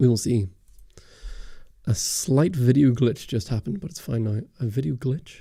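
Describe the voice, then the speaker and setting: A man at a medium pitch and moderate pace, somewhat breathy with a dark, mellow tone, lively intonation and long, frequent pauses. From Northern Ireland. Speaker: camera YouTuber. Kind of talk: livestream Q&A chat. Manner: casual, hesitant with many fillers.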